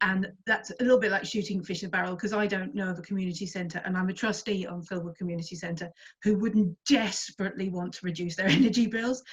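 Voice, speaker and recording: A woman's somewhat breathy, medium-pitched voice at a very fast pace, hardly any pauses, and ordinary pitch variation. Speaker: community centre trustee. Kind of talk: online meeting talk.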